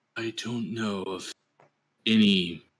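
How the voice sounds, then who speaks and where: In a put-on character voice, a man sounds raspy at a medium pitch. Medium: actual play. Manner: calm, paternal, noncommittal.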